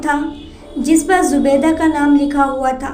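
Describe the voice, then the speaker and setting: A woman speaks in a high pitch with monotone, flat intonation. Music plays in the background. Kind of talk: religious story narration.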